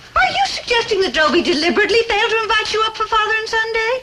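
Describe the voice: Someone talks in a put-on character voice at a very fast pace. The tone is bright and sharp, with lively intonation. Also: woman, extremely high pitch for a woman.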